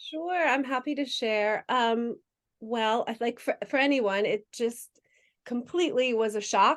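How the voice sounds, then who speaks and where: In an ordinary speaking voice, a woman talks with an American accent at a fairly slow pace. Her pitch is fairly high with ordinary variation. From United States. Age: 40s. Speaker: adoptive mother sharing her experience. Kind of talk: interview conversation.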